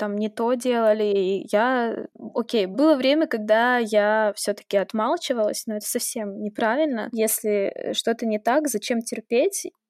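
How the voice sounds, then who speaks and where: At a moderate pace, a woman with a plain, everyday voice speaks at a fairly high pitch, the sound dry and close with no echo. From Russia, St Petersburg. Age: 20s. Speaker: blogger and filmmaker. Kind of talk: interview.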